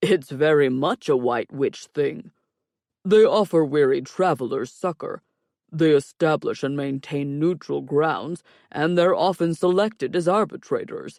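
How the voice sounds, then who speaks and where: A man performs a put-on character voice at a fairly high pitch and moderate pace, recorded very clean, dry and close, with no echo and a silent background. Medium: read story. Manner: dry, wisecracking.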